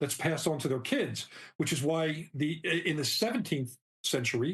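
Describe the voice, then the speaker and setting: At a moderate pace, a man with a fairly high pitch speaks in a somewhat breathy way. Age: 60s. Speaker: novelist. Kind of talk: interview.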